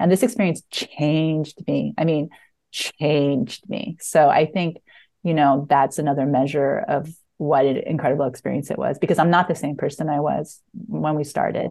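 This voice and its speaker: A woman speaks with a very deep, low pitch and a dark, mellow tone. The background is quiet. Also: ordinary pitch variation, moderate pace. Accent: American. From United States. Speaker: screenwriter and playwright. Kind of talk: casual interview.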